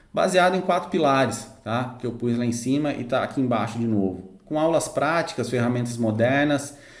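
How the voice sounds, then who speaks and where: A man talks at a moderate pace with a medium pitch and ordinary pitch variation. Audible room echo surrounds his voice. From interior of São Paulo state, Brazil. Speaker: sales consultant and mentor. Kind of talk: online lesson. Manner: hesitant, many fillers.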